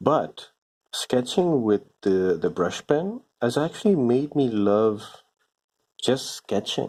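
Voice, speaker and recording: A man speaks at a medium pitch and a very slow pace. His loudness stays very even while his pitch swings very widely. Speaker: comic book artist. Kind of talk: casual drawing chat. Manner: hesitant, many fillers.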